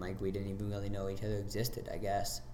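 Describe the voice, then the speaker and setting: Ordinary pitch variation, with audible room echo around the voice. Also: man. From South Dakota, Sioux Falls area. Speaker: ninja gym owner and athlete. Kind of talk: casual chat.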